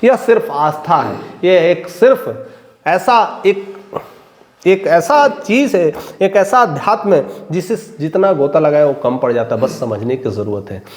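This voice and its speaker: An animated, high-pitched male voice with very wide pitch swings over noticeable background noise. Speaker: news commentator. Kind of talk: opinion commentary.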